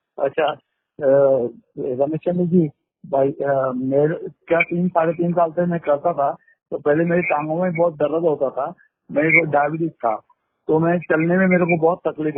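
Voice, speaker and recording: In a plain, everyday voice, a man speaks with fairly even intonation. His pitch is fairly high. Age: 60s. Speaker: caller. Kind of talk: phone call.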